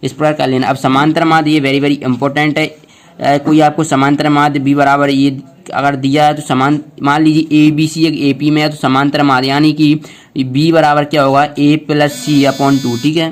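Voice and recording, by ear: A man speaks at a fairly high pitch with little pitch movement. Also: moderate pace.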